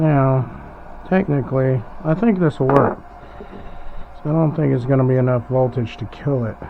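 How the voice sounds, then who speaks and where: A man's mumbling at a medium pitch and moderate pace, with ordinary pitch variation, long, frequent pauses and noticeable background noise. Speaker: hobbyist doing a DIY electronics mod. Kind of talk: casual tutorial. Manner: mumbling, thinking aloud.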